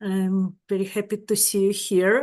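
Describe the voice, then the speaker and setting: A woman speaks with a Russian accent. Her background is quiet. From Ukraine. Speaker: psychedelic integration therapist. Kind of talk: webinar talk.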